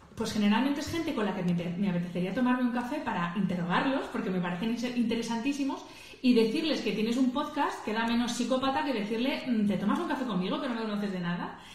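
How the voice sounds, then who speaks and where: Lively and fairly high, a woman's voice races at a very fast pace with hardly any pauses. Noticeable background noise and audible room echo come through. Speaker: podcaster. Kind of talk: instagram live talk. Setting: livestream. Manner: natural, conversational.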